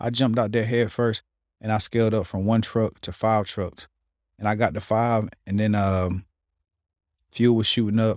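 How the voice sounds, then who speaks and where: A man speaks at a moderate pace in a flat, monotone voice with fairly low pitch, leaving long, frequent pauses, in a dry, close, echo-free recording that is very clean with a silent background. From Smithfield, North Carolina. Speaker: real estate investor and entrepreneur. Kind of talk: casual interview.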